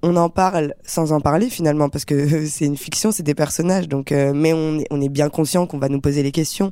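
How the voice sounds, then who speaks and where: A woman's very deep, low voice with a dark, mellow tone, ordinary pitch variation and a fairly quick pace. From Paris suburbs, Seine-Saint-Denis (France). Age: 20s. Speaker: actress. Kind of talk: interview.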